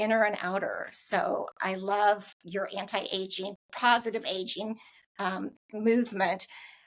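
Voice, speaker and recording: A woman speaks in an ordinary speaking voice at medium pitch. Her pace is fairly slow and her intonation fairly even. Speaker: podcast host. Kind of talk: podcast interview host.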